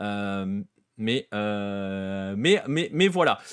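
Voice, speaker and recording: Here a man talks at a medium pitch. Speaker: football show host. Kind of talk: livestream football analysis. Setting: livestream. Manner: fast; animated.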